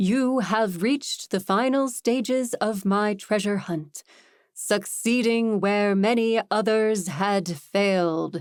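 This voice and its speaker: A woman's put-on character voice at medium pitch, fairly slow, on a very clean recording with a silent background. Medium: read story. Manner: grand, theatrical.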